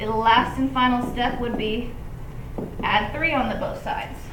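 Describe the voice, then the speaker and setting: A high-pitched woman's voice at a moderate pace, with audible room echo and noticeable background noise. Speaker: math teacher. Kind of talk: tutorial.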